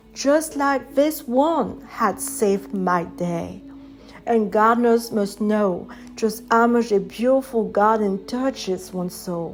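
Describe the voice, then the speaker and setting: Speaking at a very slow pace, a woman with a fairly high pitch uses lively intonation against noticeable background noise. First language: French. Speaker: poet and author. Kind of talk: poetry reading.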